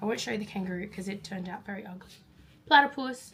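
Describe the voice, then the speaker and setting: At a very fast pace, a woman with an Australian accent talks in a medium pitch with ordinary pitch variation. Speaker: teacher. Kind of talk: casual vlog talk to camera.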